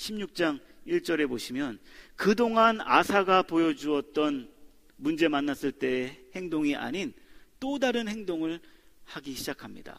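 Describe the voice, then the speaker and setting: The pace is very slow, with very wide pitch swings. The recording is very clean, and the background is silent. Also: man, high pitch for a man. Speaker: pastor. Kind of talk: sermon. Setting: church.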